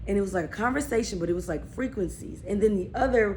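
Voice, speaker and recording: A woman with a medium-pitched voice speaks at a fairly quick pace and with lively intonation, and audible room echo surrounds her. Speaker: vlogger. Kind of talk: casual storytelling vlog. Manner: rambling, halting with fillers.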